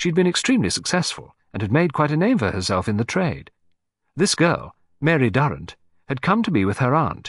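Against a quiet background, a man with vocal fry talks at a very fast pace, his pitch swinging very widely. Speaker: audiobook narrator. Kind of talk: literary audiobook reading, first-person narration by Hastings with character dialogue. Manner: measured, polished storyteller pacing; voices characters, Poirot with French-accented, fussy delivery.

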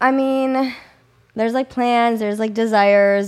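A woman with an American accent and an ordinary speaking voice talks at a moderate pace with a fairly high pitch and fairly even intonation, on a very clean recording with a silent background. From US Midwest, Kenosha, Wisconsin. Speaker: physical therapist and online fitness coach. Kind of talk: casual interview chat.

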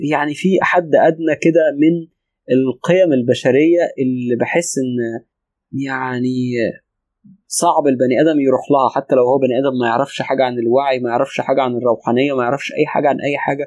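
A man speaks with an Egyptian accent. His pitch is medium. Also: moderate pace. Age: 30s. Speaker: spiritual teacher. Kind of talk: interview. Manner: calm; pauses often.

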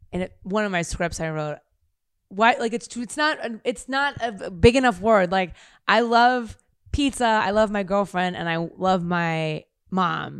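Using an ordinary speaking voice, the speaker moves at a fairly slow pace with lively intonation on a very clean recording with a silent background. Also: woman, medium pitch for a woman. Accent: American. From US Midwest, Kansas City. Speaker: actor and comedian. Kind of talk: casual chat.

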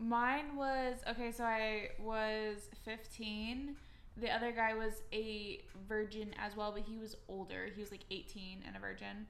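A woman speaks at a fairly slow pace and a fairly high pitch, her intonation fairly even. Noticeable background noise can be heard. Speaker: podcast co-host. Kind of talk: casual chat.

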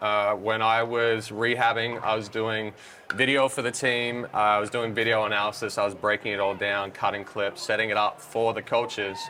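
Over noticeable background noise, a man talks at a moderate pace and medium pitch with monotone, flat intonation. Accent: Australian. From Australia. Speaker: pickleball coach and commentator. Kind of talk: interview.

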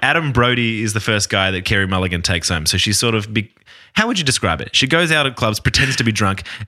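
Lively intonation runs through the passage. It is delivered in an unforced reading voice.

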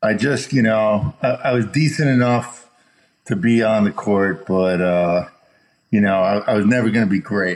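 A man with an American accent speaks in an unremarkable speaking voice at a moderate pace. His pitch is fairly low, with ordinary pitch variation and very even loudness. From Chicago, US Midwest. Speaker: entertainment executive. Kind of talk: casual interview.

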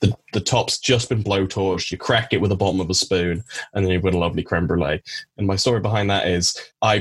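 Speaking at a very fast pace, a man keeps his loudness very even, and his voice is somewhat breathy. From Cornwall, England. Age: 20s. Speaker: biology graduate. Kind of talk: casual chat. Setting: video call.

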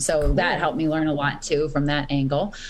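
There is audible room echo as a woman with an American accent and a very deep, low pitch talks at a very fast pace. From Boston, Massachusetts. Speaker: rock guitarist. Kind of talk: casual interview.

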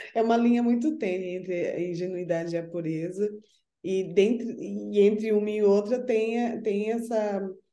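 A woman speaks at a medium pitch in a dark, mellow tone with ordinary pitch variation. Her pace is moderate, and audible room echo surrounds her voice. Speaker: spiritual counselor. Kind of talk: casual chat.

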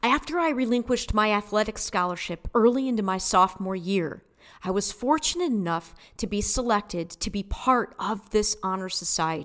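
Speaking at a moderate pace with an American accent, a woman uses lively intonation. Her pitch is medium. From US Midwest, Detroit area, Michigan. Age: 40s. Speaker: podcast host, spiritual guide. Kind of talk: solo monologue podcast. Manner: casual, conversational.

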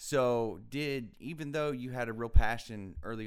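A man speaks at a medium pitch with an American accent and ordinary pitch variation. He has a plain, everyday voice. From US South. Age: 20s. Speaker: podcast host. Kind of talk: interview.

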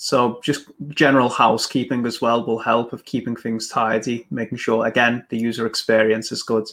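A man with an English accent talks at a medium pitch with hardly any pauses, on a very clean recording with a silent background. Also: fairly even intonation, moderate pace. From England. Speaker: business podcast host. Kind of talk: casual interview. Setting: live stream on a professional network.

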